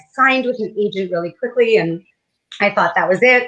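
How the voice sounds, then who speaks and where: This woman speaks with a Canadian accent. Her tone is bright and sharp. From Canada. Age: 40s. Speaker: novelist. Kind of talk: interview.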